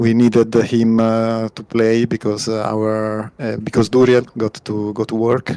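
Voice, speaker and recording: This man speaks fairly slowly with an Italian accent, hardly pausing at all. His medium-pitched voice stays monotone and flat. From Italy. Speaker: team pilot. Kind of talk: post-match interview. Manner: halting.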